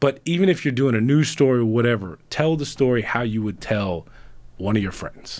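An unremarkable speaking voice with an American accent, lively intonation and a fairly quick pace. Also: man, medium pitch for a man. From Houston, Texas. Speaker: sports anchor. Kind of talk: casual chat. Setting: studio. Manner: casual, filler-heavy with repetitions.

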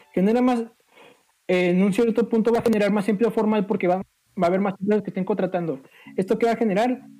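Music plays in the background. A man speaks at a high pitch. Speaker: podcast co-host. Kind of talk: casual chat.

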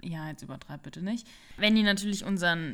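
On a very clean recording with a silent background, a woman with a plain, everyday voice speaks at medium pitch with fairly even intonation. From Palatinate, Germany. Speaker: co-host, winery worker. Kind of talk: casual chat. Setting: living room.

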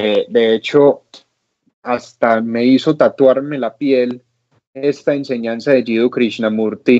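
A man speaks very slowly at a medium pitch. His tone is dark and mellow, with fairly even intonation. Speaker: podcast co-host. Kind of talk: casual chat. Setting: remote call from home.

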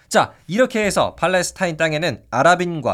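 A man speaks at a fairly slow pace in a high-pitched voice, with a dramatic tone and lively intonation. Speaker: history youtuber. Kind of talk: history documentary narration. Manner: dramatic storytelling with voice acting; animated, casual.

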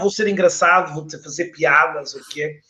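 A man talks at a moderate pace. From Portugal, Porto. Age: 40s. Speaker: LinkedIn trainer and author. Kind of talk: casual interview. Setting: online live stream.

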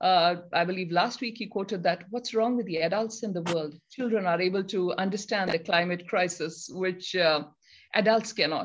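Over a quiet background, a woman in an ordinary speaking voice talks at a moderate pace, her medium pitch showing ordinary variation. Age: 40s. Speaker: dairy farmer and online show host. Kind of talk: live online talk show.

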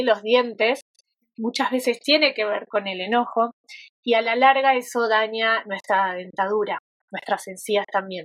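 A woman with a plain, everyday voice, fairly high in pitch and fairly even in intonation, at a fairly slow pace, in a dry, close sound with no echo. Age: 40s. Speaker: yoga therapist. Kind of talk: interview conversation.

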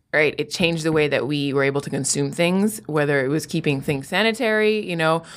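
In a very clean recording with a silent background, a woman with an American accent uses a normal speaking voice and ordinary pitch variation. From Miami, Florida. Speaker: science TV host. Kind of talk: casual interview chat.

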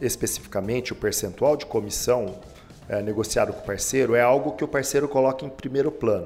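Loudness swinging widely, a man speaks at a fairly quick pace in a medium pitch with lively intonation. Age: 40s. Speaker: beauty academy executive. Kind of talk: interview. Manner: hesitant fillers.

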